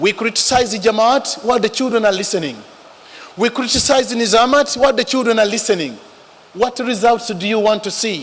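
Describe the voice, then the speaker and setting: A man's high pitch with an African accent, ordinary pitch variation and a fairly quick pace, over noticeable background noise. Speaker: religious speaker. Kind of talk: speech.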